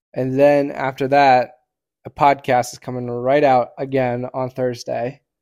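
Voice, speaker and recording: At a fairly slow pace, a man speaks in a medium pitch with a monotone, flat intonation. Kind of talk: casual chat. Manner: projects loudly.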